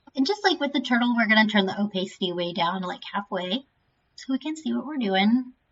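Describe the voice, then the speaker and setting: Somewhat breathy delivery at a very fast pace, with lively intonation. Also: woman, fairly high pitch for a woman. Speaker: librarian sharing software tutorials. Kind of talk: screen-recorded software tutorial. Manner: casual with many fillers and hesitations.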